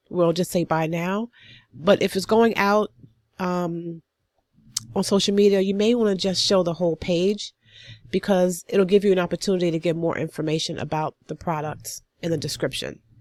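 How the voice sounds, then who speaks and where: Speech unfolds at a moderate pace. The audio is dry and close, without any echo. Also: woman. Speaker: online business tutorial creator. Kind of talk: screen-share tutorial. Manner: casual, with filler words.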